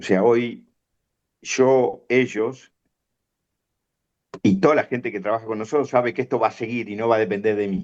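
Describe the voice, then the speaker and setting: A man speaks with a Rioplatense accent and fairly even intonation. He takes long, frequent pauses. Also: medium pitch for a man, moderate pace. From Argentina, La Plata. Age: 60s. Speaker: veterinarian and farm business manager. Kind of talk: interview.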